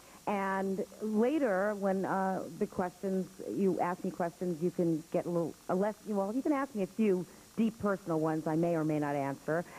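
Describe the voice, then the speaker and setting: Speaking with an American accent, a woman uses a medium pitch with ordinary pitch variation. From New York. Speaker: actress and acting teacher. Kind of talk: talk to an audience. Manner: fast; brash.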